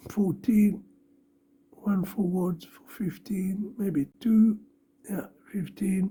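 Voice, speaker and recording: Very slowly, a woman talks in a dark, mellow, somewhat breathy voice at medium pitch. Her intonation stays fairly even. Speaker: electronics hobbyist / maker. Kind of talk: tutorial. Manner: halting.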